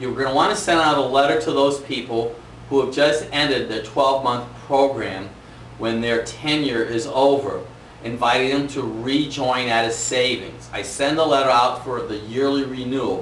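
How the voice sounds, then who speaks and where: Noticeable background noise and audible room echo surround the recording. A man speaks at a medium pitch and a moderate pace. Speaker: chiropractor giving business training. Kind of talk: tutorial. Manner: varies pace and volume, energetic.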